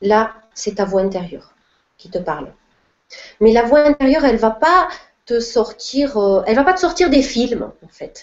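A woman with a fairly high pitch speaks fairly slowly, with long, frequent pauses. Her pitch swings very widely and her loudness shifts a lot. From southern France, Perpignan. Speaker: spiritual coach. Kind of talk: live online Q&A talk.

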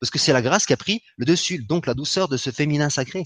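Fairly quick speech from a man against a quiet background. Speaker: spiritual healer. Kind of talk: spiritual teaching talk. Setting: live online broadcast. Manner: gentle and soft.

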